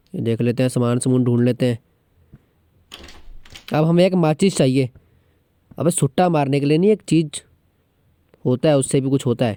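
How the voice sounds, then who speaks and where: This man, in a Pahadi accent, has a dark, mellow tone, ordinary pitch variation and long, frequent pauses. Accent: Pahadi-accented Hindi. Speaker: gaming vlogger. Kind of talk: gaming commentary. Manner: joking, casual.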